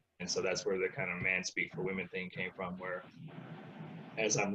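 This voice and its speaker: Over noticeable background noise, a man with an American accent speaks at a fairly low pitch with ordinary pitch variation. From Central Texas / US South, military family. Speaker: relationship coach for men and women. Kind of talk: interview. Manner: halting, repeats words.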